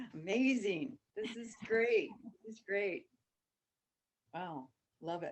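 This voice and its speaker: At a very slow pace, the voice moves with very wide pitch swings, big swings in loudness and long, frequent pauses. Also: woman, fairly high pitch for a woman. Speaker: course participant. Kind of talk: group discussion.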